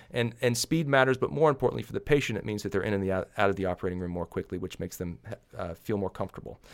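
Very fast and with lively intonation, a man with an American accent talks with vocal fry on a very clean recording with a silent background. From Arkansas, US South. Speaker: oculoplastic surgeon. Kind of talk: interview. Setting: studio. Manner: hesitant, frequent fillers.

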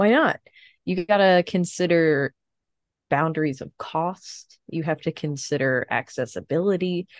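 A woman with a normal speaking voice and fairly low pitch is heard in dry, close sound with no echo and a quiet background. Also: ordinary pitch variation. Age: 30s. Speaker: podcast co-host. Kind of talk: casual chat.

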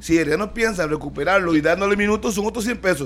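Very fast speech from a man, high in pitch, with ordinary pitch variation. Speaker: sports radio host. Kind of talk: sports talk radio.

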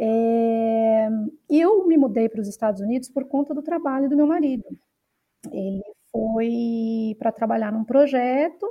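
Speaking at a fairly slow pace, a woman uses an ordinary speaking voice with fairly high pitch and ordinary pitch variation. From Brazil, São Paulo city. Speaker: researcher. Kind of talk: interview conversation.

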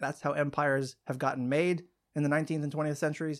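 A man with an American accent and an unremarkable speaking voice, fairly high in pitch, with fairly even intonation, on a very clean recording with a silent background. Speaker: foreign policy podcast host and academic. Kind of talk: casual chat. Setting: office.

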